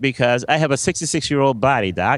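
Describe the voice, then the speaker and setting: Recorded very cleanly with a silent background, a man with an American accent sounds dry and close with no echo. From US South, New Orleans. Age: 60s. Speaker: automotive journalist. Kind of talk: interview. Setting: live broadcast at an auto show. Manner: hesitant, many fillers.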